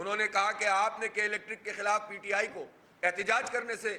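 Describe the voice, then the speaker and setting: A man's raised, projected voice, high in pitch. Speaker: provincial head of a political party, press conference speaker. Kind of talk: political press conference speech.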